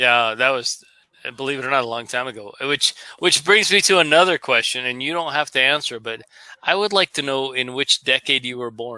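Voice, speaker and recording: With an American accent, a man speaks at a fairly quick pace in an unremarkable speaking voice of medium pitch and ordinary pitch variation, the sound dry and close with no echo. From United States. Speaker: live stream host. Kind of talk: casual chat.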